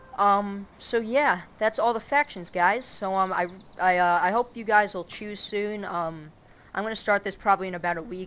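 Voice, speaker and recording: Moderate speed and ordinary pitch variation from a woman. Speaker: gaming video creator. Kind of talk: gameplay commentary. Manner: hesitant, many filler words.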